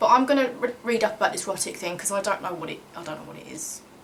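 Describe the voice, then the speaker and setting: Lively intonation and an animated tone mark this woman's speech. Noticeable background noise runs behind her. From Kent and southeast London, England. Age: 30s. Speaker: YouTuber and singer. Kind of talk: casual Q&A vlog.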